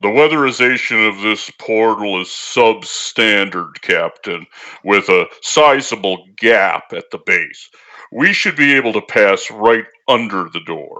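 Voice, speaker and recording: A man in a put-on character voice talks fairly slowly, his pitch in the medium range. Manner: calm, polite, matter-of-fact.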